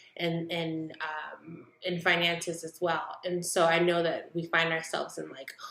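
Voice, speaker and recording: A woman's fairly low voice at a fairly slow pace, amid noticeable background noise. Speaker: faith and self-growth vlogger. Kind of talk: casual vlog talk to camera. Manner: slow and deliberately clear; hesitant, many fillers.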